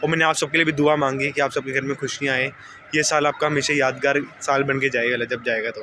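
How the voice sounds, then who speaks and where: A man's fairly high-pitched, monotone voice at a fairly quick pace, flat in intonation, over noticeable background noise. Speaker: vlogger. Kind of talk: vlog. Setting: outdoors, gurdwara garden.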